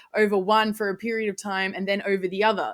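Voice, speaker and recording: A woman speaks with an Australian accent at a moderate pace. Her tone is bright and sharp. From Australia, Sydney. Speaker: content creator. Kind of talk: interview.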